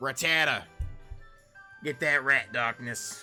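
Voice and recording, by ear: A put-on character voice from a raspy man at a medium pitch and a fairly slow pace, with faint music in the background.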